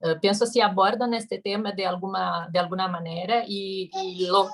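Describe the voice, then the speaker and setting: With a Brazilian accent, a woman talks at a medium pitch in a somewhat breathy, flat monotone, the sound dry and close with no echo. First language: Portuguese (speaking Spanish). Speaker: audience member asking a question. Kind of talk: conference Q&A question.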